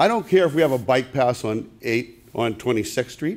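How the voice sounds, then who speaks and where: His intonation is lively. The man keeps a moderate pace. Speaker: audience member at public meeting. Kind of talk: public comment. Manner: loud.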